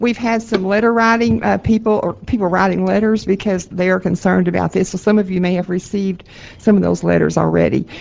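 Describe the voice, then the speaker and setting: A woman talks at a very fast pace in a Texan accent. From Texas. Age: 70s. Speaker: advocacy group representative giving public testimony. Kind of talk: public testimony at a board meeting. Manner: halting, many fillers and repetitions.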